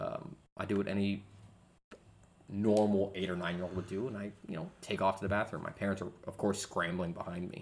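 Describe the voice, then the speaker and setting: A man talks fairly quickly in a plain, everyday voice. His pitch is fairly low, with fairly even intonation. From US military family, moved around (Georgia, Guam). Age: 20s. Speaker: podcast co-host, father. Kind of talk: casual chat over beers.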